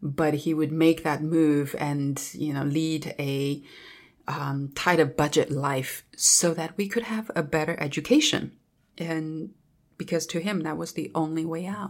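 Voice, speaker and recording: A woman with a Chinese accent speaks at a fairly slow pace in a very deep, low voice with fairly even intonation. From Southwest China (Dali, Yunnan). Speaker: travel company founder. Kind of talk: interview.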